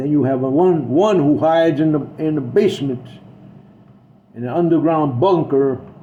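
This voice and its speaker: There is audible room echo around this man's fairly high voice, which has a dark, mellow tone and ordinary pitch variation. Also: moderate pace. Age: old. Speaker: political vlogger, veteran. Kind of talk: political monologue. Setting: self-recorded video. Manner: animated.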